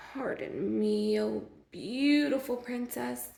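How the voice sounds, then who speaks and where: Using a put-on character voice, a woman speaks at a medium pitch and a fairly slow pace. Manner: sad, pathetic.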